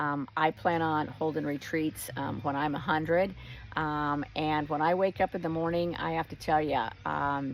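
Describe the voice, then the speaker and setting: A woman with a very deep, low pitch talks at a fairly slow pace and with fairly even intonation. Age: 60s. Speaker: wellness retreat host. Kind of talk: casual talk to camera. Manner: many fillers, um and uh.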